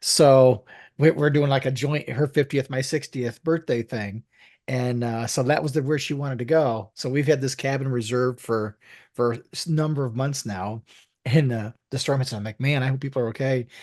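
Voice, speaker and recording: Against a quiet background, a man with a normal speaking voice talks at a moderate pace with medium pitch and fairly even intonation. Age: 60s. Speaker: podcast co-host. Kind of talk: casual chat.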